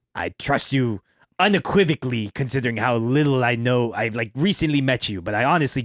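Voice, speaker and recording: A put-on character voice is used here. It moves along fairly quickly. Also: man, medium pitch for a man. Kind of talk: pirate talk. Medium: actual play. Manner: folksy, storytelling.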